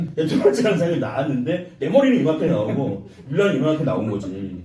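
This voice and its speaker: A man's fairly high voice with very wide pitch swings, plus noticeable background noise and audible room echo. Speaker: YouTuber and producer being interviewed. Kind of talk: interview.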